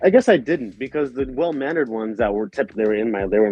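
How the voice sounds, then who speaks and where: Music plays in the background. A man with an American accent talks at a very fast pace. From Los Angeles County, California. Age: 20s. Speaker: guest in debate. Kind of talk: heated debate.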